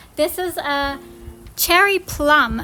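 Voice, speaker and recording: This woman's raised, projected voice has a bright, sharp tone. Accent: Australian. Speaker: gardening vlogger. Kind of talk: casual garden tour tutorial.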